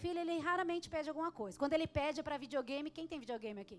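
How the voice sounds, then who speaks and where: Loud and high-pitched, a woman speaks. Her pitch varies in an ordinary way. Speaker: pastor. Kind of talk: sermon.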